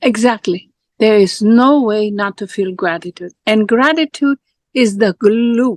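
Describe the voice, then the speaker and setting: A woman with a fairly high pitch and ordinary pitch variation speaks fairly slowly in a dry, close sound with no echo. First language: Spanish. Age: 60s. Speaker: life coach. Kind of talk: casual chat.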